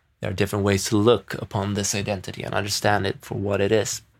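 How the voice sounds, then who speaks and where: A man speaks with a Swedish accent in a fairly low pitch. The recording is very clean, with a silent background. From Sweden. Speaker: podcaster, entrepreneur. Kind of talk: solo reflective monologue. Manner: rambling, thoughtful.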